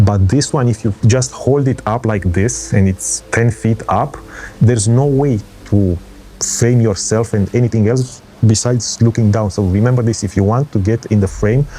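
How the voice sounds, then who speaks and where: Music plays behind a man with a non-native accent. His pitch is fairly low and his loudness stays very even. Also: ordinary pitch variation, moderate pace. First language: not English. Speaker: travel vlogger. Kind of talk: tutorial. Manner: halting.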